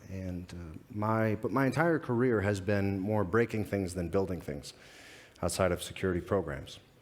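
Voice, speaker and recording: A man with an American accent talks at a moderate pace. His pitch is fairly low, with ordinary variation. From United States. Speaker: security advisor. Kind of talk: conference talk. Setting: stage with audience. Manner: halting.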